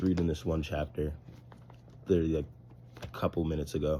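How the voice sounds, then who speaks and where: This man's voice has a very deep, low pitch, a dark, mellow tone and vocal fry. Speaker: vlogger. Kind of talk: casual vlog monologue. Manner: fast.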